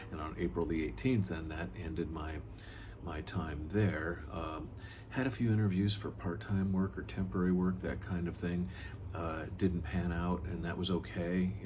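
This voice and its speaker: A man with a very deep, low pitch speaks at a moderate pace with ordinary pitch variation, and audible room echo surrounds his voice. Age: 60s. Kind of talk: personal testimony talk. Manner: conversational with frequent fillers and repeats.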